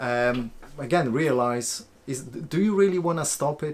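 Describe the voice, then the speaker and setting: A man speaks with a Polish accent. He goes at a fairly slow pace, with ordinary pitch variation. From Poland. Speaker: life coach and video creator. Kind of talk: live-stream Q&A. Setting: live stream on camera at home. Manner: halting, many fillers.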